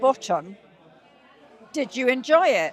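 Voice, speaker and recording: Lively intonation marks this woman's high-pitched voice. She speaks with a British accent. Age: 70s. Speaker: charity climber. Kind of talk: anecdote in interview. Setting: event venue with crowd.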